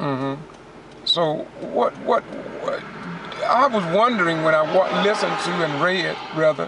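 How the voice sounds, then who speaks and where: Loud background noise surrounds speech at a fairly slow pace with long, frequent pauses and a dry sound with no echo. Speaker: community news host. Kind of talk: casual talk while driving. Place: car.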